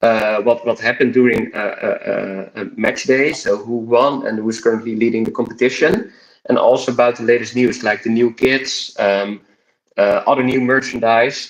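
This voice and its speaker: A man speaks with a Dutch accent. His pace is moderate. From Netherlands. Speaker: YouTube coach. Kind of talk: casual interview. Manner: hesitant, many fillers.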